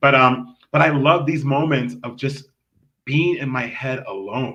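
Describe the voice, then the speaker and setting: Pitched in the medium range, a man speaks in an animated tone with ordinary pitch variation. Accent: American. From US West Coast, Los Angeles. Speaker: community activist and expat. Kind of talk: podcast interview. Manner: fast.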